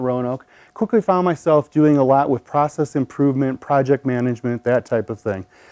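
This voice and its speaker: A man talks at a fairly quick pace with a Midwestern accent. His voice is fairly high, dark and mellow, with ordinary pitch variation. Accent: Midwest. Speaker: storyteller, pharmacist. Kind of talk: storytelling performance.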